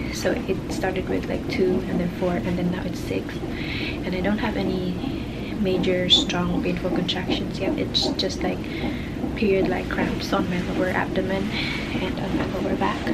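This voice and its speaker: A woman keeps a moderate pace while loud noise fills the background. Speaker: expectant mother vlogger. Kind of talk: casual vlog chat. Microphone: phone near.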